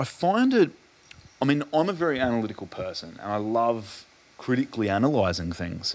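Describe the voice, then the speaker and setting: A man speaks with an Australian accent over noticeable background noise. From Adelaide, Australia. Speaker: podcast host. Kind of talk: casual interview conversation.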